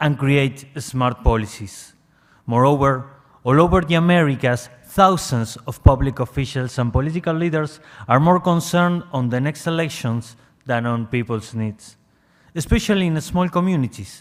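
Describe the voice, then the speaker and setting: Speaking with an Argentine accent, a man uses a fairly high pitch, ordinary pitch variation and a moderate pace. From Argentina. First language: Spanish. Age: young. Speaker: NGO representative. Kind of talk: reading aloud a prepared statement.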